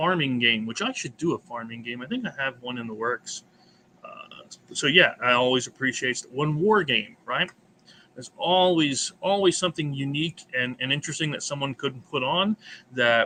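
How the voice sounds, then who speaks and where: An American-accented man with an unremarkable speaking voice talks at a moderate pace and a fairly high pitch, with ordinary pitch variation. His loudness swings widely. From United States. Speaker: board game channel host. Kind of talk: casual chat.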